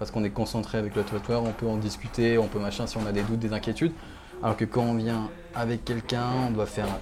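Music plays behind a man talking at a very fast pace. His medium-pitched delivery is monotone and flat. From Réunion. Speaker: tattoo artist. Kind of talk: interview. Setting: tattoo shop. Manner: halting.

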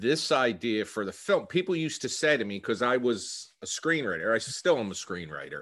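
A man with an American accent speaks at a medium pitch with vocal fry and very wide pitch swings. His pace is moderate, and the background is quiet. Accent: Philadelphia-tinged New Jersey. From New Jersey, US. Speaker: filmmaker and actor. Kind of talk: casual interview.

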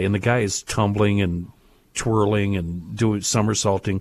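A man talks at a moderate pace in a normal speaking voice, pitched fairly low. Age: 50s. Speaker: radio host. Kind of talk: casual chat.

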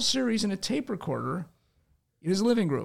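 The man's intonation is lively and his pace moderate, delivered in a plain, everyday voice. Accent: American. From Chicago. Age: 60s. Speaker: radio broadcaster and author. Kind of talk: casual podcast interview.

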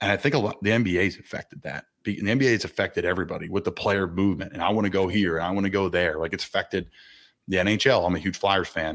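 On a very clean recording with a silent background, a man with a very deep, low voice talks at a very fast pace with ordinary pitch variation. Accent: American. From Philadelphia area. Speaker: NFL player. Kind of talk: casual interview.

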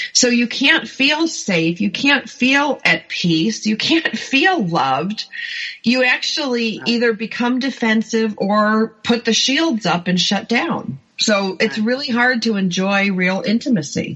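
A woman with a fairly high pitch makes very wide pitch swings while keeping very even loudness. She speaks at a fairly slow pace over noticeable background noise. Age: 50s. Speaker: author and life coach. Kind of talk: interview. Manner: animated.

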